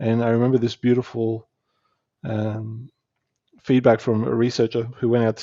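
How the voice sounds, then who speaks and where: A man with an Australian accent talks at a fairly quick pace and a medium pitch. His intonation is monotone and flat, broken by long, frequent pauses. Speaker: spiritual teacher and entrepreneur. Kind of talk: podcast interview. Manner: halting.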